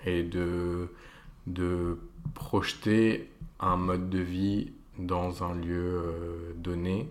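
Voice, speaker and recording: A man speaks in a very deep, low voice, with audible echo in the room. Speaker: interior architect. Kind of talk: interview. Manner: hesitant, many fillers.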